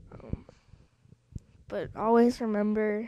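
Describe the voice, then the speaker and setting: A woman talks in a fairly high voice with a dark, mellow tone. Her intonation stays fairly even. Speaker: software tutorial maker. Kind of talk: tutorial.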